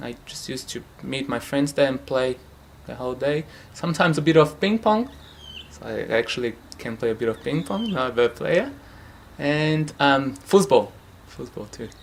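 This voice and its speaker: A man with a Portuguese accent speaks at a moderate pace and a fairly high pitch. His intonation is lively, with long, frequent pauses. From Brazil, São Paulo. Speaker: futsal club founder. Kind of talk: interview. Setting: at home. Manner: hesitant, many fillers.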